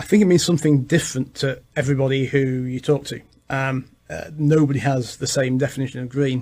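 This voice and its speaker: A somewhat breathy man's voice with an English accent, fairly high in pitch, at a fairly quick pace, with fairly even intonation and a dark, mellow tone. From England. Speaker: realtor. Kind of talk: radio interview. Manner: halting.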